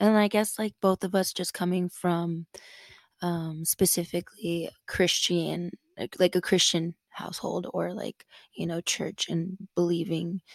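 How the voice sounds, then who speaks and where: At a fairly slow pace, a woman speaks at a fairly low pitch in a monotone, flat intonation, the sound dry and close with no echo. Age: 20s. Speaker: podcast guest. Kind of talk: casual chat.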